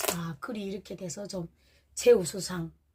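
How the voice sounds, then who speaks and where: Speaking at a very slow pace, a woman has a somewhat breathy voice and a dark, mellow tone. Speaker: vlogger. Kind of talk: casual monologue vlog. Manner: halting.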